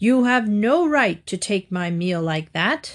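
A woman at a medium pitch puts on a character voice and speaks at a fairly slow pace. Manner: stern.

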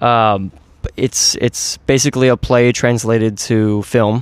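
A man at medium pitch with an American accent and monotone, flat intonation. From US, Orange County, California (Mission Viejo). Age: 30s. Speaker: actor and screenwriter. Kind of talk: casual interview chat.

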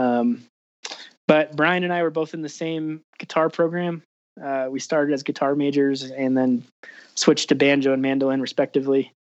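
With an American accent and a normal speaking voice, a man talks at a moderate pace, his fairly high pitch carried on fairly even intonation. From Colorado. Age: 20s. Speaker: musician. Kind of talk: casual interview.

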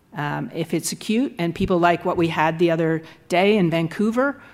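In a Canadian accent, a woman talks in an unremarkable speaking voice, fairly low in pitch with ordinary pitch variation. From Canada, Nova Scotia. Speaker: law professor. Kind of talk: lecture. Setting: stage with audience.

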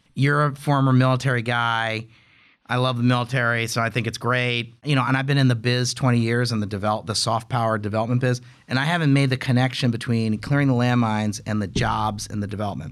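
Speaking at a very fast pace with an American accent, a man at medium pitch keeps his intonation fairly even on a very clean recording with a silent background. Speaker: podcast host, think tank executive. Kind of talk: interview.

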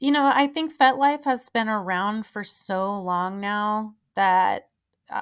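A woman's plain, everyday voice at medium pitch, fairly slow in pace, with ordinary pitch variation, on a very clean recording over a silent background. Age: 30s. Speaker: podcast host and adult performer. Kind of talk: casual interview chat.

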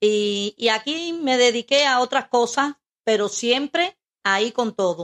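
A fairly slow pace with lively intonation and very even loudness, in a dry, close sound with no echo. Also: woman, high pitch for a woman. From Cuba, Camagüey. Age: 60s. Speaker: host's mother. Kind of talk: interview. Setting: home studio.

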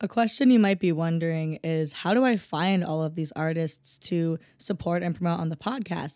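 Recorded very cleanly against a silent background, a woman with an Upper Midwest accent talks at a fairly low pitch. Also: ordinary pitch variation, moderate pace. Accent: Upper Midwest American. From US Midwest, Minnesota. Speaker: music podcast host. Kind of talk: casual solo podcast monologue. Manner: animated.

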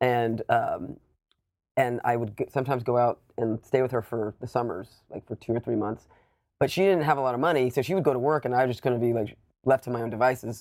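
A man with a medium pitch talks at a fairly quick pace with ordinary pitch variation in an unremarkable speaking voice. The sound is dry and close, with no echo. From US South, Savannah, Georgia. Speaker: documentary filmmaker and musician. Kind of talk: casual chat.

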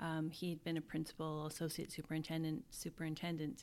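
With a western Canadian accent, a woman speaks on a very clean recording with a silent background. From Canada, Alberta. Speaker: school division superintendent. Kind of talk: interview.

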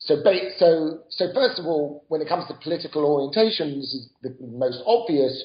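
With a British accent, a man speaks at a fairly high pitch and a moderate pace. His intonation is lively, and his loudness swings widely. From Britain. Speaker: author and professor. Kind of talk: interview.

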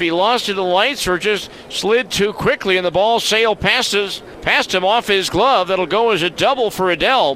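Over noticeable background noise, a man speaks in a high, raised, projected voice. His pace is moderate and his pitch varies in an ordinary way. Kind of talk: sports commentary, play-by-play highlight recap.

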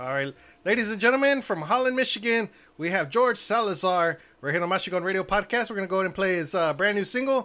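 A man with an American accent talks very fast in a bright, sharp, high voice, raised and projected, with lively intonation on a very clean recording with a silent background. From Texas. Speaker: radio show host. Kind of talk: radio interview.

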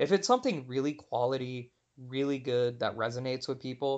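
A man with an American accent talks at a fairly quick pace in an ordinary speaking voice, his intonation fairly even. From Texas, Houston. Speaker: marketing consultant and author. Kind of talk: interview.

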